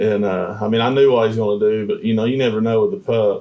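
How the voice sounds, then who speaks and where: The delivery is fairly quick with fairly even intonation. Noticeable background noise sits behind it. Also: man. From East Tennessee, Sevier County. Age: 30s. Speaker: outdoor recreation advocate. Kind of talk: casual interview chat.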